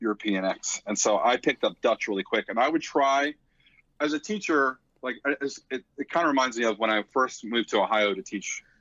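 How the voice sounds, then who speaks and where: A man with an American accent and a fairly high pitch speaks in a plain, everyday voice at a fairly quick pace. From Philadelphia, US. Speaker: drum corps instructor and former marcher. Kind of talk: podcast interview. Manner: casual, with many fillers and restarts.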